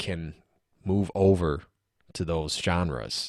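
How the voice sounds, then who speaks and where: The recording is very clean, with a silent background. A man talks at a very slow pace. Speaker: singer-songwriter musician. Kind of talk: casual interview chat.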